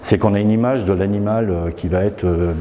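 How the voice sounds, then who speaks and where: Against noticeable background noise, a man with a fairly low pitch speaks at a fairly quick pace. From France, Isère (Grande Chartreuse, near Grenoble). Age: 60s. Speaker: painter and graphic artist. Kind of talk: interview. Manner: hesitant, many fillers.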